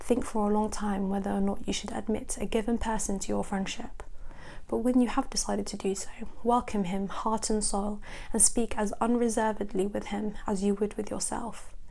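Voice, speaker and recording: A woman speaks with a dark, mellow tone and monotone, flat intonation. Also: fairly high pitch for a woman, moderate pace. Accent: British. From British. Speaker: ASMR creator. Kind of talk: ASMR book reading.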